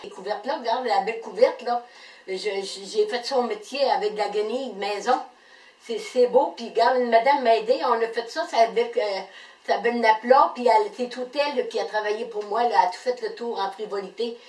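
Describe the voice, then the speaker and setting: Speaking fairly quickly with a Quebec accent, a woman uses a fairly high pitch and big swings in loudness. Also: ordinary pitch variation. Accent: rural Quebec French. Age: 70s. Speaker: game show applicant, weaver. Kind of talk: casual video application. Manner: halting, many hesitations.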